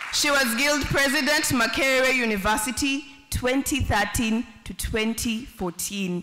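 A woman at a fairly slow pace, with crowd noise in the background. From Uganda, Gulu; Uganda. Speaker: event emcee. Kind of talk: ceremony hosting; event hosting announcements. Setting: stage with audience. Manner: animated. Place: hall. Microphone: podium.

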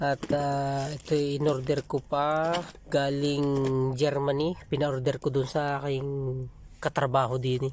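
In a very clean recording with a silent background, a man talks at a very slow pace with fairly even intonation. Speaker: vlogger. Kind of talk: product review. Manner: casual, halting.

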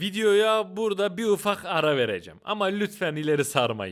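A man is speaking. His intonation is lively. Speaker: documentary YouTuber. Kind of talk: sponsor read; documentary narration. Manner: casual, slangy. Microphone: Boya BY-M1000 Pro microphone.

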